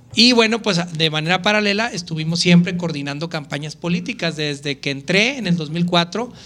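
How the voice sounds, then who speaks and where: Here a man speaks at a moderate pace with hardly any pauses. His high-pitched voice has a bright, sharp tone and ordinary pitch variation. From Mexico, Chihuahua city. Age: 30s. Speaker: politician. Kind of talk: interview.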